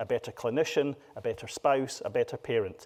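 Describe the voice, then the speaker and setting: A man with a Scottish accent speaks at a moderate pace. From Scotland. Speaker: patient advocate speaker. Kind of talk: conference talk. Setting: stage with audience. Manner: animated.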